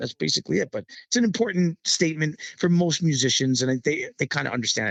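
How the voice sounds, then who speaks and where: With a New York accent, a man talks at a very fast pace with lively intonation in a dry, close sound with no echo. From New York City. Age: 50s. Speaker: Latin percussionist and band leader. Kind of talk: interview.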